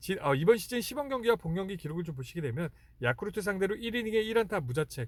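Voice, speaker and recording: The man's voice is high in pitch. It moves in very wide pitch swings. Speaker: sports betting analyst. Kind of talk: sports analysis monologue. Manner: halting, many fillers; slurred pronunciation.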